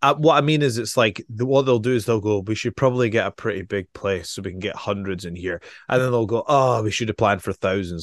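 A man talks at a very fast pace with a fairly low pitch and ordinary pitch variation, leaving hardly any pauses. The sound is dry and close with no echo, over a quiet background. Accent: Scottish. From Scotland. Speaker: professional wrestler. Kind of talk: casual chat.

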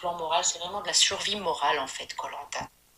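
Amid noticeable background noise, a woman with a fairly low pitch talks at a moderate pace. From northern France. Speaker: former reality TV contestant. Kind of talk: interview. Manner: hesitant.

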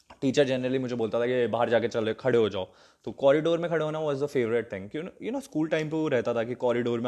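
A man speaks with ordinary pitch variation. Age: 20s. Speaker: comedy content creator. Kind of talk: casual storytelling monologue. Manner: hesitant.

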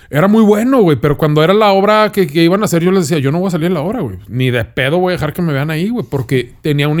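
Lively in intonation, a man with a Mexican accent speaks at a very fast pace. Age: 30s. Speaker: food content creator. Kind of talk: casual chat. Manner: casual, slangy.

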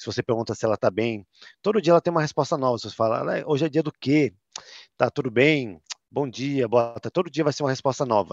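A man at medium pitch, very fast in pace and lively in intonation, with a dry, close sound and no echo. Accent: São Paulo. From Brazil, São Paulo city. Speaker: tech company content manager. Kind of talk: interview.

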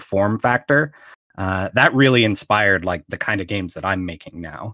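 A man speaks in a plain, everyday voice with an American accent and fairly low pitch. The sound is dry and close with no echo, and his pitch varies in an ordinary way. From Pittsburgh, Pennsylvania. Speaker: game designer and publisher. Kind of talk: interview.

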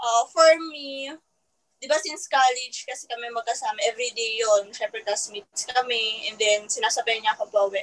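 A woman with a normal speaking voice talks at a fairly quick pace, her fairly high pitch showing ordinary variation while her loudness moves in big swings. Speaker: newlywed guest. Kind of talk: casual chat.

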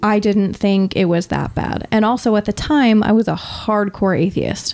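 A woman speaks at a moderate pace in an ordinary speaking voice, her medium pitch carried with fairly even intonation and very even loudness. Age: young. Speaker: modern pagan practitioner in alcohol recovery. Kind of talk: casual chat.

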